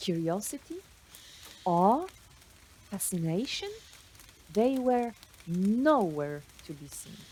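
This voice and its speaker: Talking at a very slow pace, a woman uses a medium pitch with very wide pitch swings. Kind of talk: spoken word poetry reading. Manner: slow, reflective.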